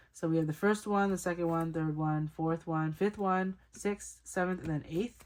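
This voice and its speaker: A woman's fairly low-pitched voice with ordinary pitch variation. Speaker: k-pop photocard collector vlogger. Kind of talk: casual collection showcase talk. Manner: fast; chatty, self-correcting.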